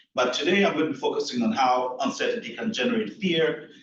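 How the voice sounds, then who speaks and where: There is audible room echo around a man's voice. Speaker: keynote speaker, health researcher. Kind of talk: conference talk. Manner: soft-spoken; repetitive stammering fillers.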